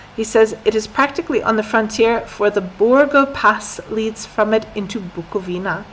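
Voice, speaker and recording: An ordinary speaking voice with an American accent and ordinary pitch variation. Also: woman. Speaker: English teacher. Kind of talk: lesson with reading aloud. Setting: live stream. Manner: slow, clear.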